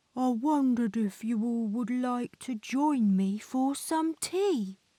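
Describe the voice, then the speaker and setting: In a put-on character voice, a female-sounding speaker mumbles at a fairly slow pace and a high pitch for a woman. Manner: shy, mumbling.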